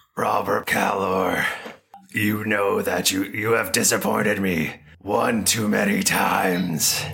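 In a raspy, put-on character voice, a man speaks with a fairly low pitch at a fairly slow pace. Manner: terrible put-on voice.

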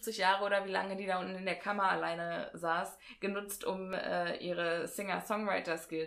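The intonation is fairly even. The delivery is an unforced reading voice.

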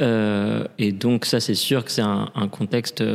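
Speaking at a very slow pace, a man keeps his intonation monotone and flat. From Paris, France. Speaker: opera singer and drag queen. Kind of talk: interview. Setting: reverberant room in a theatre.

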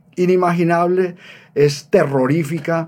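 Here a man has a high pitch and a dark, mellow tone. His pitch varies in an ordinary way at a fairly slow pace. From Colombia, Bogotá. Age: 70s. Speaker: rock musician. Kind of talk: interview storytelling.

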